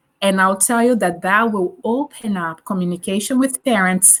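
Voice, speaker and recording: A woman with a Portuguese accent talks at a moderate pace, her medium pitch showing ordinary variation. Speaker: teacher. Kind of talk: interview.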